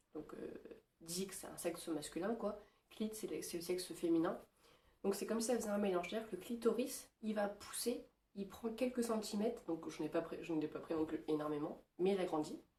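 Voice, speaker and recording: Somewhat breathy, a woman speaks at medium pitch in a dark, mellow tone. Long, frequent pauses break up her speech. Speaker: vlogger. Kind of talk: casual vlog. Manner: hesitant, many fillers.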